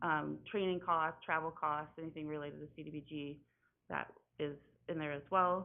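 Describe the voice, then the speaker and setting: A woman is speaking. Her pace is fairly quick. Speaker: city grant program administrator. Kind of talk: presentation to city council. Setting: city council meeting. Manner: halting, with fillers.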